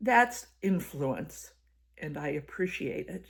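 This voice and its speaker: A woman at medium pitch swings her pitch very widely, with vocal fry. The recording is very clean, with a silent background. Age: 80s+. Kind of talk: personal reflective talk to camera.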